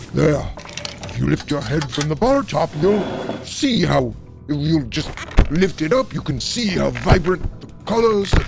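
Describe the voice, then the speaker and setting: A man puts on a character voice at a medium speed while background noise is clearly audible. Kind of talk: archaic theatrical speech. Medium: audio drama. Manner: florid, grandiose, mockingly polite.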